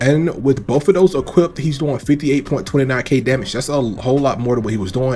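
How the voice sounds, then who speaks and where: A man with a medium pitch talks at a very fast pace while music plays in the background. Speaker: gaming YouTuber. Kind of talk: gameplay commentary. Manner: casual, filler-heavy (um); stumbling over words.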